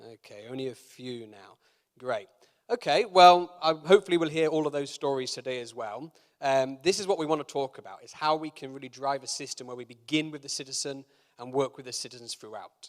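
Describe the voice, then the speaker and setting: With a British accent, a man speaks at a fairly quick pace and a fairly high pitch. His pitch varies in an ordinary way, while his loudness swings widely. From Britain. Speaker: keynote speaker, food entrepreneur. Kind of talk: conference keynote. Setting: conference stage with live audience. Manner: hesitant, many fillers.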